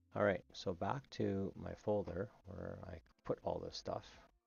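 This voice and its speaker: There is vocal fry in this man's voice. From Canada. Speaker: game map-building tutorial streamer. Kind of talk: tutorial. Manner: casual, halting with fillers.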